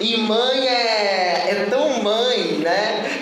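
The speaker sounds animated against noticeable background noise. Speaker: preacher. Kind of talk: sermon. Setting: church. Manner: animated, fervent preaching, repetitive with rhetorical questions.

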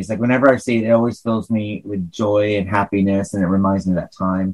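Here is a man talking. He has an American accent. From northern New York, US. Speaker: podcast co-host and forensic psychiatrist. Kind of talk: casual interview chat.

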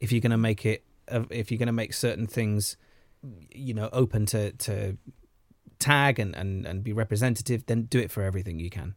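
Recorded very cleanly against a silent background, a man with a Welsh accent talks at a fairly quick pace, medium pitch and fairly even intonation. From Wales. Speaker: actor. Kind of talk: casual chat.

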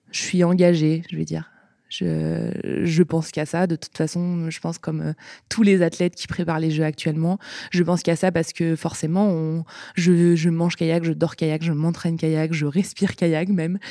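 In a very clean recording with a silent background, a woman speaks at a moderate pace in a fairly low, dark, mellow tone with flat, monotone intonation. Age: 20s. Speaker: sprint kayak athlete. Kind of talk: casual interview.

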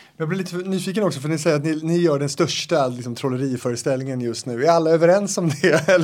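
Against noticeable background noise, a man with a fairly high pitch and ordinary pitch variation talks at a very fast pace with hardly any pauses. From Stenungsund, western Sweden. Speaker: podcast host. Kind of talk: interview.

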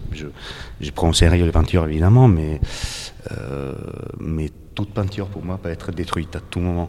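Male speech at a moderate pace with fairly even intonation, noticeable noise in the background. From Italy, Naples. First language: Italian (speaking French). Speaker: painter. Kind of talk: interview. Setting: art gallery. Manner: halting, many repetitions.

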